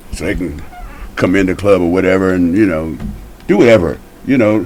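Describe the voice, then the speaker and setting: A man talks at a fairly quick pace with a very deep, low pitch and ordinary pitch variation. There is audible echo in the room. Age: 70s. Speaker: guest, former probation officer and youth program writer. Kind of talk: casual chat.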